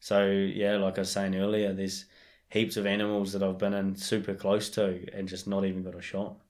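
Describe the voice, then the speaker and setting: A man in a New Zealand accent talks fairly quickly at a fairly low pitch, his intonation monotone and flat. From New Zealand, Marlborough Sounds. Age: 20s. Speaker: bowhunter. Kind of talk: casual chat.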